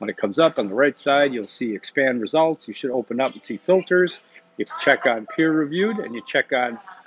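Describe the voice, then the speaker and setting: Noticeable background noise sits behind a man with a fairly high pitch. He speaks at a fairly quick pace with lively intonation. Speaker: university instructor. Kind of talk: recorded lecture. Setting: coffee shop. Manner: fast.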